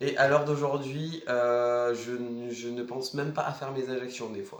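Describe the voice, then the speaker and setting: Noticeable background noise and audible room echo fill the recording. A man speaks at a fairly slow pace in a monotone, flat delivery. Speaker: vlogger. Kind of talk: casual vlog. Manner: casual, hesitant with many fillers.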